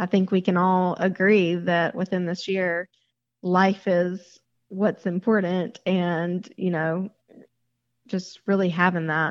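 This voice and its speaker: A woman speaks in a Southern US accent at a very slow pace. Her intonation is monotone and flat. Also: medium pitch for a woman. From Mississippi. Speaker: bridal shop owner. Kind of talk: interview.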